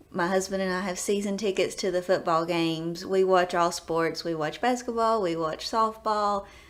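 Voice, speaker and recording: A woman speaks with a strong Southern US accent and fairly even intonation. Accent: deep Southern. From US South, East Tennessee. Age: 20s. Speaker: nurse educator. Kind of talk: self-introduction video.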